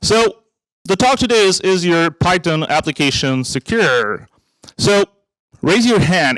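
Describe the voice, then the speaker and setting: A man's high-pitched voice with a French-Canadian accent, fairly slow in pace, with very wide pitch swings, in a dry, close sound with no echo on a very clean recording with a silent background. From Quebec, Montreal. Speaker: technical evangelist, conference speaker. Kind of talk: conference talk. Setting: stage with audience. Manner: animated.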